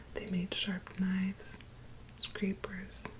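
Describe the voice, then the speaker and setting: Whispering and soft-spoken, a woman goes at a very slow pace over noticeable background noise. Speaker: ASMR creator. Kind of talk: bedtime story reading. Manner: soft-spoken, whispering.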